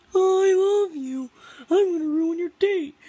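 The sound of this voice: Pitched extremely high, a put-on character voice speaks at a fairly slow pace.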